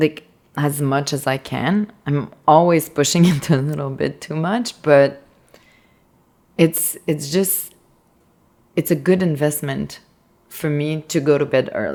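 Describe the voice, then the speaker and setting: A woman with a Quebec accent talks at a very deep, low pitch with ordinary pitch variation. Her speech has long, frequent pauses. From Quebec, rural. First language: French. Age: 30s. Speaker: artist. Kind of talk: casual chat.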